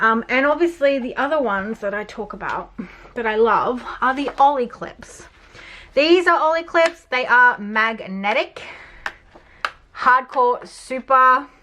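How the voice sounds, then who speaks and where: Someone talks in a raised, projected voice at a fairly slow pace with lively intonation over noticeable background noise. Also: woman, high pitch for a woman. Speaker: journaling YouTuber. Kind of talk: casual supply review.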